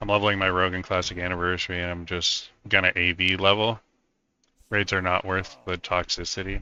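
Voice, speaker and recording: A man talks in a monotone, flat intonation at a very deep, low pitch. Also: fairly quick pace. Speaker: gaming streamer. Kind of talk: casual gameplay commentary.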